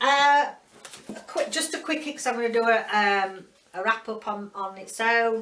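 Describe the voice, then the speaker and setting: At a moderate pace, a woman with a Yorkshire accent speaks in a fairly high pitch with ordinary pitch variation. Noticeable background noise can be heard. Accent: broad Yorkshire. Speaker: book reviewer. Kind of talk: casual video book review. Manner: halting, many fillers.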